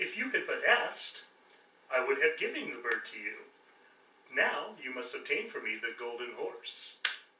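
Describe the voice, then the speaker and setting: A man in a put-on character voice at a moderate pace, with long, frequent pauses and slight echo. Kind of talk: royal proclamation. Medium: audio drama. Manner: stern, commanding.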